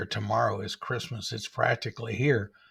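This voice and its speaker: A man speaks at a moderate pace in a put-on character voice. The voice is growling. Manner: snarling, sneering.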